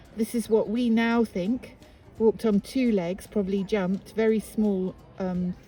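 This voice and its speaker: With music playing behind her, a woman with a British accent speaks at a medium pitch in a passionate tone and a fairly even intonation. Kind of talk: tour guide talk. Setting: outdoors. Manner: passionate, spontaneous.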